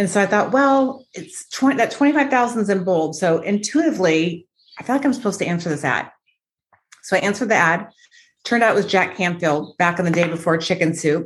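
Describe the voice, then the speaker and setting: A woman with an American accent talks at a fairly quick pace with lively intonation and a medium pitch. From US West Coast, Los Angeles (San Fernando Valley). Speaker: business coach and author. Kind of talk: interview.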